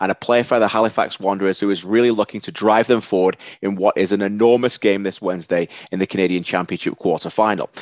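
A man with a northern English accent at a very fast pace, with fairly even intonation, a dry sound with no echo and a quiet background. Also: fairly low pitch for a man. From Northern England (Preston). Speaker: soccer broadcaster, interviewer. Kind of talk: podcast intro to camera. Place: home room. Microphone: headset.

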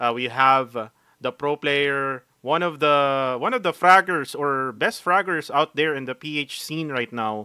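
A man's voice sits fairly high in pitch, with a bright, sharp tone. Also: dry, close sound with no echo. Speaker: podcast host. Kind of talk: casual chat. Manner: animated.

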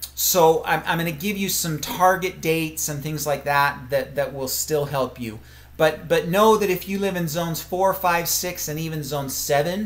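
Moderately paced and with hardly any pauses, a man speaks with ordinary pitch variation. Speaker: garden class host. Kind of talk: live webinar lecture. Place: home room. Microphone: webcam.

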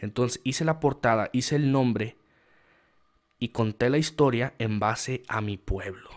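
Animated in tone, a man talks in a medium-pitched voice. He speaks at a fairly slow pace with ordinary pitch variation. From Mexico, rural San Luis Potosí. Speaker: writer and small business owner. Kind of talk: casual monologue to camera.

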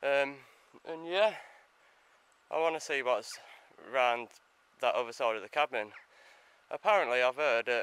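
A man's bright, sharp tone at a moderate pace, dry with no echo. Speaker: explorer vlogger. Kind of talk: casual vlog chat. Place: open country. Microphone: phone near.

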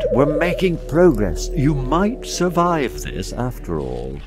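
A man performs a put-on character voice that is booming. He talks at a fairly slow pace over loud background noise.

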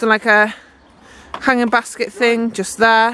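Delivered at a moderate pace, the voice has a fairly bright tone. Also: woman.

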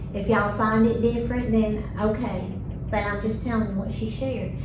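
Amid audible room echo and noticeable background noise, a woman talks at a moderate pace. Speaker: discussion host. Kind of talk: faith discussion, telling a story. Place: meeting room.

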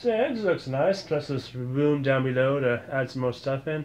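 The man talks at a fairly quick pace. His pitch variation is ordinary. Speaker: vlogger showing his room. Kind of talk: casual vlog chat. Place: home room. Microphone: phone near.

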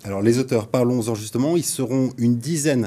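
The voice has a dark, mellow tone, moves at a fairly quick pace, and shows ordinary pitch variation. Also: man, medium pitch for a man.

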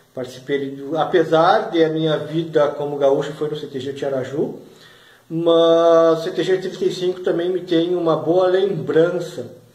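A man's fairly high voice at a very slow pace, with audible room echo. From Brazil, Porto Alegre (Rio Grande do Sul); Rio Grande do Sul, Brazil. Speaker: regional culture video blogger. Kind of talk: casual vlog monologue. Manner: animated. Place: home room. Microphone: phone near.

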